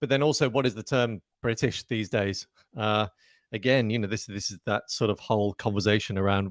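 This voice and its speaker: A man talks at a fairly quick pace with a Southern English accent and a fairly low pitch. The sound is dry and close, with no echo. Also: ordinary pitch variation, very clean recording, silent background. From Southern England. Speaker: breathwork instructor. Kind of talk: interview. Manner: trained actor's diction.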